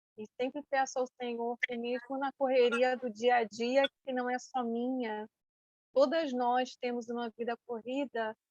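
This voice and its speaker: In a dry, close recording with no echo, a woman speaks fairly slowly at a high pitch with flat, monotone intonation. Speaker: women's ministry speaker. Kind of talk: church talk to women.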